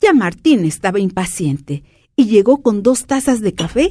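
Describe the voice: Lively intonation over plain reading aloud.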